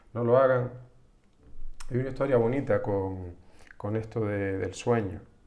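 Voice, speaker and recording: This is a man with a dark, mellow tone. His pitch sits in the medium range. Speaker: psychologist. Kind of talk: live-streamed psychology talk. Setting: live stream from home computer. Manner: slow; halting, many restarts.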